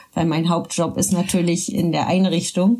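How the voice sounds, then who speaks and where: Somewhat breathy, a woman talks at a moderate pace with a fairly low pitch. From Berlin, Germany. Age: 30s. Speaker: social worker. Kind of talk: casual chat. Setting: home studio.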